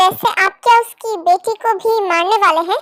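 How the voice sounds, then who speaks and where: A woman's squeaky, put-on character voice at an extremely high pitch, with ordinary pitch variation, a moderate pace and a dry, close sound with no echo. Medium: read story. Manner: deferential.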